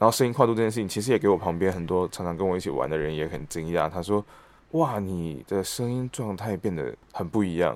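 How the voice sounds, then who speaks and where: Over a silent background on a very clean recording, a man with a very deep, low voice talks at a fairly quick pace with hardly any pauses, lively intonation and big swings in loudness. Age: 30s. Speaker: stage actor and voice actor. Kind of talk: casual interview.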